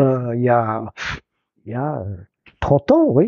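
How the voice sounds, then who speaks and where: Male speaker at a fairly slow pace with ordinary pitch variation. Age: 60s. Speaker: cabinetmaker and furniture restorer. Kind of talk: interview. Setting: workshop. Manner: halting.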